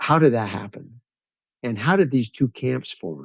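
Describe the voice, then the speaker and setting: With an American accent, a man speaks at a moderate pace with lively intonation and vocal fry, in a dry, close sound with no echo. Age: 70s. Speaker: retired pastor and rancher. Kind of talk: casual interview conversation.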